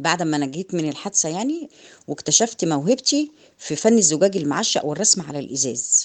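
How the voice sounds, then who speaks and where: A woman with an Egyptian accent speaks at a moderate pace, her pitch swinging very widely. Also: fairly low pitch for a woman. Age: 50s. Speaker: artisan business owner. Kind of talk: testimony.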